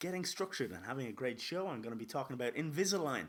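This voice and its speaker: Talking at a very fast pace, a man has an Irish accent. His pitch swings very widely. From Ireland. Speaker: podcast host. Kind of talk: casual podcast monologue.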